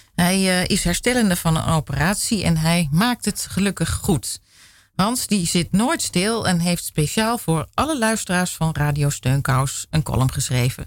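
In a very clean recording with a silent background, the words unfold fairly slowly. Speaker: radio presenter. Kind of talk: radio show presenting and interviewing.

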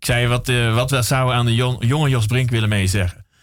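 Somewhat breathy and at medium pitch, a man speaks with fairly even intonation in a very clean recording with a silent background. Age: 40s. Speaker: radio host. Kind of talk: casual chat. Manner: halting.

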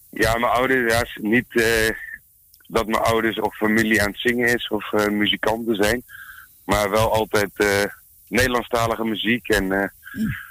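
In a bright, sharp tone of medium pitch, a man speaks at a moderate pace with monotone, flat intonation and a dry, close sound with no echo. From Arnhem, Netherlands. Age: 20s. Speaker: singer. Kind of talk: interview.

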